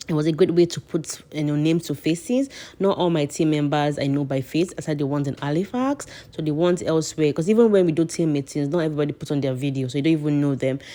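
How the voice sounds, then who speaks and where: A woman's very deep, low voice with a dark, mellow tone, ordinary pitch variation and a very fast pace. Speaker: immigration consultant and vlogger. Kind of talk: casual vlog advice.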